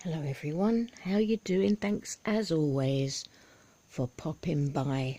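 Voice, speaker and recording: Very slowly, a woman speaks with a very deep, low pitch, a dark, mellow tone and very wide pitch swings. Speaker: video blogger, ex-religious commentator. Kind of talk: casual vlog commentary. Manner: soft-spoken; halting, many ums.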